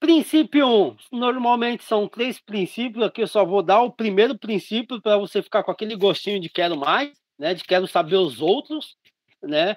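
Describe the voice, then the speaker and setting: Here a man speaks at a high pitch and a moderate pace. His intonation is lively. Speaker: radiology teacher. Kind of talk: online lecture.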